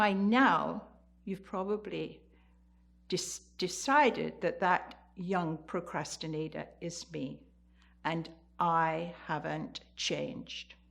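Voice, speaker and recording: A woman's fairly low, vocal-fry voice at a very slow pace, with ordinary pitch variation, long, frequent pauses, and a very clean recording with a silent background. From eastern England, the Fens. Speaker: storyteller. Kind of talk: storytelling.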